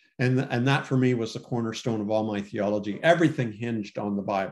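A man with a Canadian accent and an unremarkable speaking voice talks at a fairly quick pace and medium pitch, with ordinary pitch variation. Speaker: former pastor and cartoonist. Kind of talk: interview conversation.

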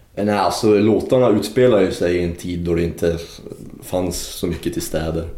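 A man with a very deep, low pitch speaks at a moderate pace. Noticeable background noise and audible room echo fill the recording. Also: ordinary pitch variation. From Luleå, northern Sweden. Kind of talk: casual interview.

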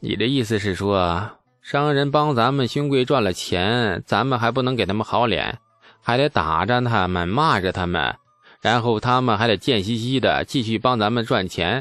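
Using a put-on character voice, a man drawls at a moderate pace with a medium pitch and very even loudness. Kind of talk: casual, sarcastic. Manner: lazy drawling.

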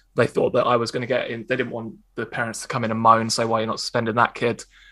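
Speaking with an Essex accent, a man uses a bright, sharp tone at medium pitch. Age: 30s. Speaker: stand-up comedian. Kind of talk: interview.

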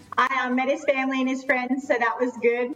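Through noticeable background noise, a woman speaks in a high pitch. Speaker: reality TV contestant, podcast guest.

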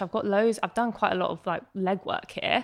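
Speaking with a British accent, a woman keeps to a medium pitch. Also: very clean recording, silent background. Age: 20s. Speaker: entrepreneur and blogger. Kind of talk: casual chat.

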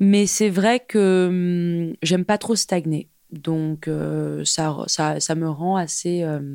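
A woman with an unremarkable speaking voice and a fairly low pitch keeps her intonation fairly even in a very clean recording with a silent background. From France and England (half English, half French). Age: 30s. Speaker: fashion tech entrepreneur. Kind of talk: casual interview chat.

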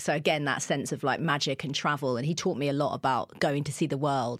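A woman's very deep, low voice in a southern English accent at a very fast pace, over a very clean recording with a silent background. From southern England, Kent. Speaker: TV presenter and radio DJ. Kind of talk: casual chat.

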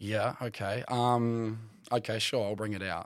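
The speaker is a man with an Australian accent. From remote Western Australia (Kimberley, outback). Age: 20s. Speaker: journalist. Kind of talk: casual chat.

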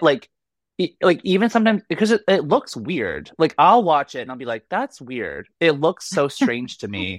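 Using an American accent, a man speaks at a moderate pace with a fairly high pitch, vocal fry, and very wide pitch swings. The sound is dry and close with no echo, and the background is quiet. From Boston. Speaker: comedian and figure skater. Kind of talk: casual chat.

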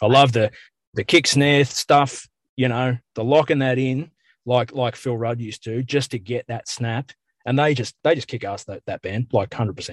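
A man with an Australian accent at a medium pitch and moderate pace, fairly even in intonation, with a dry, close sound with no echo and a quiet background. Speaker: metal band musician. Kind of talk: casual interview. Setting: in a car.

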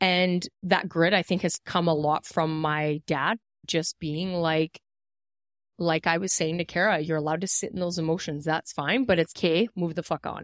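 A woman's fairly low voice in a normal speaking voice, with fairly even intonation at a moderate pace. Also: dry, close sound with no echo. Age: 30s. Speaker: podcast co-host, beauty business owner. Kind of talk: casual chat.

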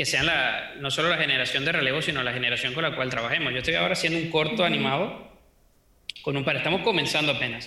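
At a very fast pace, a man with a fairly high pitch and ordinary pitch variation speaks at very even loudness, with audible room echo and noticeable background noise. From Venezuela. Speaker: 3D modeling teacher. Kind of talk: interview.

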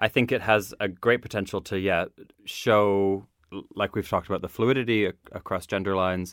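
Heard in a Maritime Canadian accent, the speech moves at a moderate pace with fairly even intonation. The sound is dry and close with no echo, on a very clean recording with a silent background. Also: man, fairly low pitch for a man. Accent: Canadian (Maritimes). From Canada, Nova Scotia. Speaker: drag queen. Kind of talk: casual chat.

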